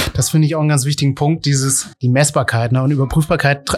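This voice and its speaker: A man speaks with fairly even intonation. Noticeable background noise sits behind him. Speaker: podcast host. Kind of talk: interview. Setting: ice cream café. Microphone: poor sound quality.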